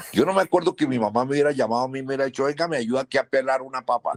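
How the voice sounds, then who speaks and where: A man's lively intonation in a dry, close recording with no echo. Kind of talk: interview answer.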